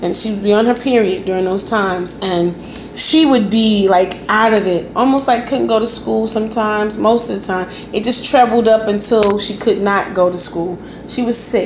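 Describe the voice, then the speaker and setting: A woman's fairly high voice at a moderate pace, fairly even in intonation, with audible room echo and noticeable background noise. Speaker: health vlogger. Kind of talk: casual talk to camera.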